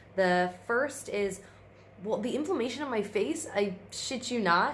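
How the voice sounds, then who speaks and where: Somewhat breathy speech at a moderate pace with audible room echo. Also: woman. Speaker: vlogger. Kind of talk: casual vlog. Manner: rambling with fillers.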